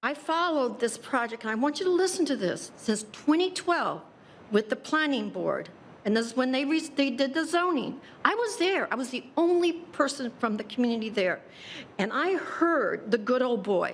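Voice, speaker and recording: The speaker, with an American accent, talks at a moderate pace with very wide pitch swings. Noticeable background noise runs underneath. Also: woman, high pitch for a woman. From Tallahassee, Florida. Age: 70s. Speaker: public commenter at city meeting. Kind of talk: public comment. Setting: city commission meeting. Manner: impassioned.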